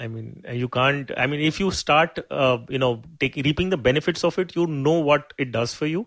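In an Indian accent, a man with fairly high pitch and ordinary pitch variation talks at a moderate pace. He uses hardly any pauses, over a quiet background. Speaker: certified financial planner. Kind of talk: interview.

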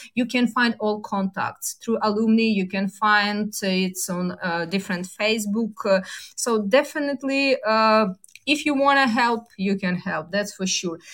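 A woman with a Ukrainian accent speaks at a fairly slow pace, her fairly high pitch showing ordinary variation. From Ukraine. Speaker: university dean. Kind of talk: interview. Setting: remote call from Ukraine. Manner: halting, many fillers.

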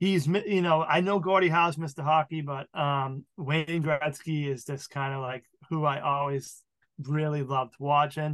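In an American accent, a man with a fairly high pitch talks at a moderate pace with fairly even intonation. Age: 40s. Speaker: podcast fan, car industry worker. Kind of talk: casual chat. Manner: halting.

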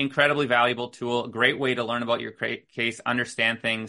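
Against a quiet background, a man with an American accent talks at a fairly quick pace and medium pitch, his tone bright and sharp and his intonation monotone and flat. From US Midwest, northern Minnesota. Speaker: legal tech founder, lawyer. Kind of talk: interview.

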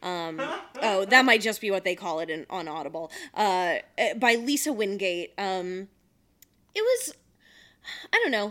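Bright and sharp in tone, a woman with an American accent and medium pitch speaks fairly slowly with lively intonation and long, frequent pauses. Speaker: podcast co-host. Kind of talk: casual chat.

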